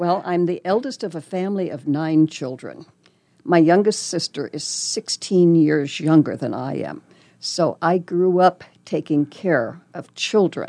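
Speaking slowly-ish at a fairly slow pace, a woman with a Midwestern US accent and fairly low pitch shows big swings in loudness against a quiet background. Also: ordinary pitch variation. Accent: US Midwest. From Nebraska, Lincoln. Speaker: volunteer radio reader. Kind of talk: casual interview.

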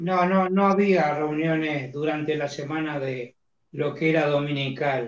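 An ordinary speaking voice from a man, fairly high in pitch, at a fairly slow pace with fairly even intonation. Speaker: former missionary. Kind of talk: casual chat.

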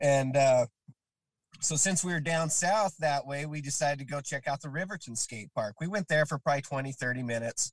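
With an American accent, a man talks at a fairly quick pace in a somewhat breathy, fairly high voice with ordinary pitch variation and a dry, close sound with no echo. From Utah, Salt Lake area (Kearns). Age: 40s. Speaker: skateboarder and carpenter, skate park volunteer. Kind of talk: casual chat.

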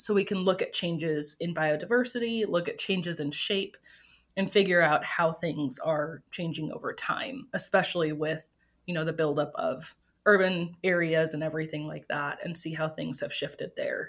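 A plain, everyday voice belongs to this woman, who speaks at a moderate pace and a fairly low pitch with an American accent and ordinary pitch variation, on a very clean recording with a silent background. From Wisconsin, US Midwest. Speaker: evolutionary biologist. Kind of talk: interview.

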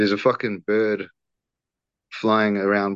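A man with a New Zealand accent speaks at a fairly low pitch. The background is quiet and the sound is dry and close, with no echo. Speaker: podcaster. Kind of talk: casual interview, personal storytelling.

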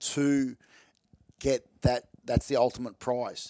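The man speaks with an Australian accent at a medium pitch. His intonation is monotone and flat. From Melbourne, Australia. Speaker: taxidermist and hunter. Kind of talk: casual interview chat. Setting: indoors, recorded in person.

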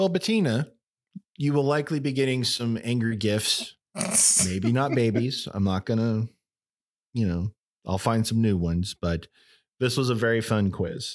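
A man with an ordinary speaking voice, medium in pitch, with lively intonation, very even loudness and a moderate pace. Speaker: trivia podcast MC and player. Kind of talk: casual banter, trivia game.

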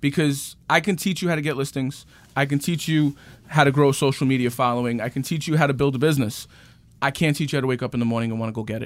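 Talking very fast with a New York accent, a man speaks at a fairly high pitch on a very clean recording with a silent background. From New York City, Queens. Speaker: real estate agent. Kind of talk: casual interview. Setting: studio. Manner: animated.

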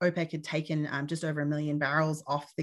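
A woman with an Australian accent speaks at a very deep, low pitch. Her pace is fairly quick and her intonation monotone and flat. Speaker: petroleum reserves engineer and consultant. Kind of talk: interview.

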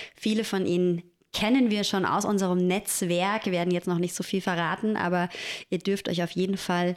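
In a very clean recording with a silent background, a woman speaks in an ordinary speaking voice at medium pitch with fairly even intonation. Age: 30s. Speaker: podcast co-host and doula. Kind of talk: casual chat.

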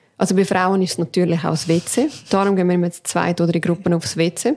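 A woman speaks in an unremarkable speaking voice at a fairly low pitch. Her pitch variation is ordinary, and her pace is fairly quick. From Canton Aargau, Switzerland, Portuguese family. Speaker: podcast co-host. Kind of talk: casual chat. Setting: home kitchen.

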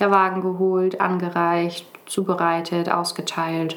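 A woman speaks at a medium pitch in a flat monotone, with audible room echo. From northern Germany (Brake, Lower Saxony). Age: 20s. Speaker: hospital volunteer and nursing trainee. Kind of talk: podcast interview.

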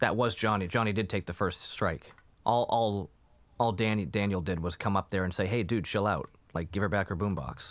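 The man speaks at a fairly quick pace. His voice is fairly low, with ordinary pitch variation. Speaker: podcast co-host reviewing TV shows. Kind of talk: casual chat. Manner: subdued intro delivery.

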